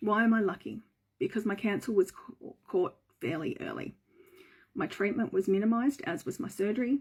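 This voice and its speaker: A somewhat breathy woman with an Australian accent, a medium pitch, a moderate pace and lively intonation. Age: 40s. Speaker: breast cancer survivor. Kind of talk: personal story reading.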